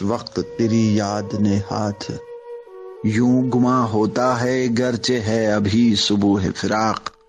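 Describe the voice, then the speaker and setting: Against background music, a man speaks at a fairly low pitch with fairly even intonation and very even loudness. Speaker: radio jockey, poetry reciter. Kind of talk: poetry reading.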